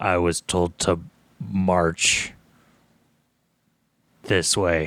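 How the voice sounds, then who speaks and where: In a put-on character voice, a man speaks raspily at a very deep, low pitch on a very clean recording with a silent background. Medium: actual play. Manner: stiff, archaic, earnest.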